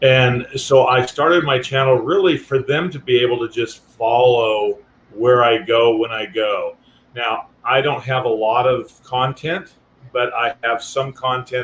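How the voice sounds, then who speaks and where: A man with a medium-pitched voice talks fairly slowly, his pitch varying in an ordinary way. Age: 60s. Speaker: guest on a livestream, traveler with a converted ambulance. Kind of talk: casual chat. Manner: halting.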